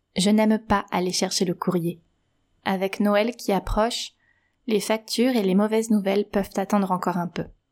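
On a very clean recording with a silent background, a woman speaks in a gentle, warm tone with monotone, flat intonation. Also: medium pitch for a woman, moderate pace.

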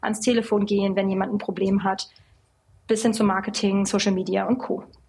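In a somewhat breathy voice of medium pitch, a woman talks with monotone, flat intonation. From western Germany (North Rhine-Westphalia). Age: 20s. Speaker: cosmetics company founder and CEO. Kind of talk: casual interview.

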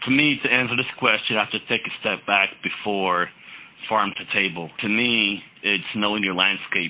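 An American accent with ordinary pitch variation, heard over noticeable background noise. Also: man, fairly low pitch for a man, moderate pace. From Navajo Nation, northeast Arizona. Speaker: chef. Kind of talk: interview.

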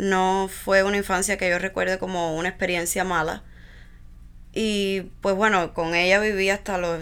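Speaking fairly slowly, a woman uses a bright, sharp tone with monotone, flat intonation. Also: very clean recording, silent background. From Cuba, Villa Clara. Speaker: founder of pediatric therapy center. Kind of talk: interview.

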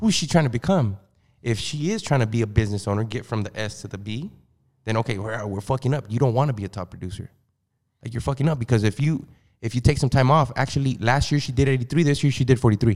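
Very fast, somewhat breathy speech from a man at medium pitch, with ordinary pitch variation on a very clean recording with a silent background. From California, US. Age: 30s. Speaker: mortgage loan officer. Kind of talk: casual podcast interview. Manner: casual, hesitant, repeats words.

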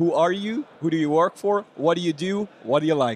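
With a Belgian accent, a man talks in a high pitch using lively intonation. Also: dry, close sound with no echo. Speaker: podcast host. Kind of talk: casual interview chat.

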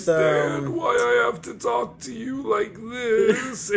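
Using a put-on character voice, a man speaks high and at a very slow pace. Clear background noise can be heard.

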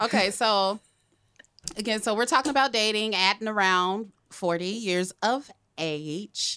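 Her voice fairly high and bright, sharp in tone, a woman speaks at a fairly slow pace with ordinary pitch variation and long, frequent pauses, recorded very cleanly against a silent background. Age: 40s. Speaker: podcast host. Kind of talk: casual chat. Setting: studio.

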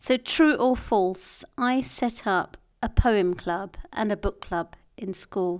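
A woman's medium-pitched voice with lively intonation at a very slow pace, on a very clean recording with a silent background. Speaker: podcast co-host. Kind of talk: casual banter Q&A with spouse. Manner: playful, laughing.

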